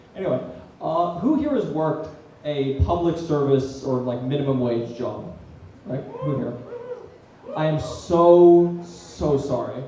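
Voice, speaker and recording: Over noticeable background noise and audible room echo, a man with a fairly high pitch speaks at a fairly slow pace, taking long, frequent pauses. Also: ordinary pitch variation. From Australia. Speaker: comedian. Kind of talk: stand-up. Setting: stage with audience.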